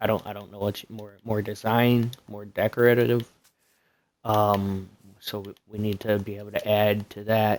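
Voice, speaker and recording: A soft-spoken man's fairly low voice, monotone and flat, with big swings in loudness and a moderate pace. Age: 30s. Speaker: gaming streamer. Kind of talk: live gameplay commentary. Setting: live stream. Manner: hesitant, many fillers.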